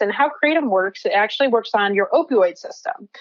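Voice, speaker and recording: Speaking with an American accent in an unremarkable speaking voice, a woman talks at a fairly quick pace with fairly high pitch and lively intonation. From New Jersey. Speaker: cannabis health coach, neuroscientist. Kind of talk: podcast interview.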